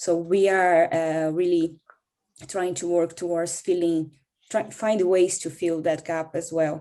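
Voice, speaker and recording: Speaking at a fairly slow pace, a woman with a Portuguese accent has a dark, mellow tone, a fairly low pitch and flat, monotone intonation. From Brazil. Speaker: migrant support worker. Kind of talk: panel discussion. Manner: halting, with many fillers.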